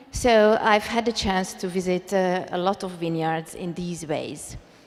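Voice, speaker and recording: Speaking rather slowly, the woman lets her pitch vary in a normal way. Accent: Hungarian. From Hungary. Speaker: wine blogger. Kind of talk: personal storytelling to live audience. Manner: hesitant, with pauses.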